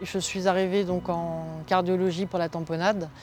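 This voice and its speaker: A woman's fairly low-pitched voice in a monotone, flat intonation. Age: 60s. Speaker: cancer patient. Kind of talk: testimony. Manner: halting, many fillers.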